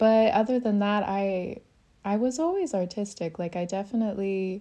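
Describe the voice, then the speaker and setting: With a West Coast accent, a woman speaks at a moderate pace in a medium pitch, her tone dark and mellow. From Oregon, US. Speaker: photographer. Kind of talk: casual interview chat.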